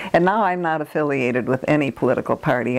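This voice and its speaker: Over noticeable background noise, a woman with an American accent talks at a very fast pace. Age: 80s+. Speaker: retired nurse, oral history interviewee. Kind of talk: oral history interview. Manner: halting, many fillers.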